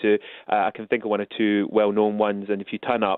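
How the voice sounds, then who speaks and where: A man speaks with a Scottish accent. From Scotland. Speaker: royal butler and etiquette expert. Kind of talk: radio interview. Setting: phone call.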